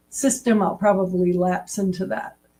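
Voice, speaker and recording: In a New England accent, the speaker sounds somewhat breathy with ordinary pitch variation. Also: woman. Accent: New England American. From US New England. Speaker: assessment and measurement expert. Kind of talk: interview.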